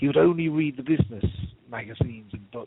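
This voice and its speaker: A man speaks with a British accent. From UK. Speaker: nonprofit consultant. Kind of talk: memorial interview on radio.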